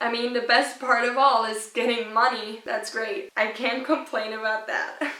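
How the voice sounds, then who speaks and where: A woman speaks with a German accent. Audible room echo surrounds her voice. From rural Austria. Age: young. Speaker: YouTuber. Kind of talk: casual vlog talk.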